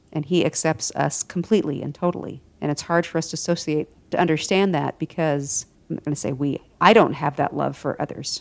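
Over a very clean recording with a silent background, a woman speaks fairly quickly at a very deep, low pitch, with vocal fry and ordinary pitch variation. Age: 40s. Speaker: podcast host. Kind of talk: casual chat.

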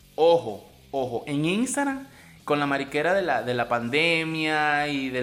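With a Venezuelan accent and a bright, sharp tone, a man speaks fairly slowly at a fairly high pitch, with audible room echo around him. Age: 40s. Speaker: podcaster. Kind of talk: comedic rant monologue. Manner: animated.

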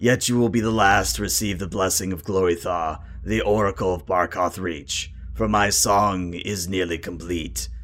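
A raspy, put-on character voice moves at a moderate pace. Its intonation is lively. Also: man. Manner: solemn, ceremonial.

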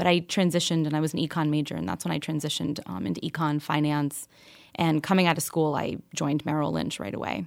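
A woman's very deep, low voice with vocal fry and an American accent, very fast in pace, with ordinary pitch variation, on a very clean recording over a silent background. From New York, with teen years in Kentucky. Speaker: financial planning entrepreneur. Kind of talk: interview.

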